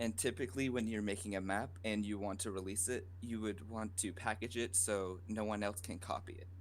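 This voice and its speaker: A man speaks quietly at a fairly quick pace. His pitch sits fairly low and his intonation stays fairly even. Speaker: game modder. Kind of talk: tutorial. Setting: live Twitch stream. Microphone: too quiet, volume turned up.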